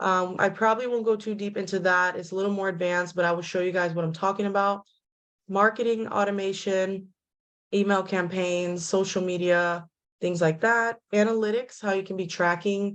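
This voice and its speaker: Against a quiet background, a woman speaks at a moderate pace in a medium-pitched voice with monotone, flat intonation. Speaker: real estate tech trainer. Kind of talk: webinar tutorial. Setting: video call from home. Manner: loud.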